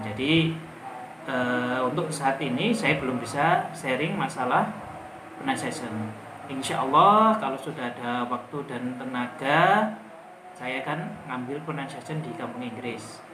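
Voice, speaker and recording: A medium-pitched man at a fairly slow pace, with ordinary pitch variation, audible room echo and noticeable background noise. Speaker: English teacher. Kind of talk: tutorial. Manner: casual.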